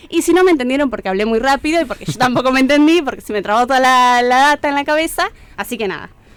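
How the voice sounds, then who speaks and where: A woman's high-pitched voice at a very fast pace, with lively intonation. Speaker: cultural agenda presenter. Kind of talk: events agenda reading.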